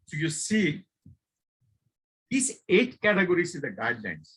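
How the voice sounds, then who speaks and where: Very wide pitch swings and vocal fry run through this man's speech. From Bangladesh. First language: Bengali. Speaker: e-learning professor. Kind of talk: guest lecture. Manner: informal.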